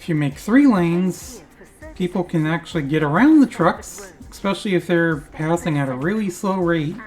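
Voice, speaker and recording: Over music in the background, the speaker talks at a moderate pace with lively intonation. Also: woman, fairly low pitch for a woman. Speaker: gaming video creator. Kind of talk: gameplay commentary. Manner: casual, rambling.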